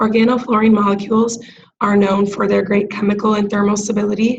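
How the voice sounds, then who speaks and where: Somewhat breathy and monotone with flat intonation, the speaker goes at a moderate pace amid audible room echo. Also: woman. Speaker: graduate student presenter. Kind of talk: class presentation. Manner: hesitant, many filler ums.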